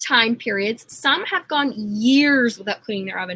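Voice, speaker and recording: A woman speaks in a raised, projected, animated voice with a bright, sharp tone, very wide pitch swings and a moderate pace, the sound dry and close with no echo. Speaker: product consultant hosting live workshop. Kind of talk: live sales presentation. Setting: livestream.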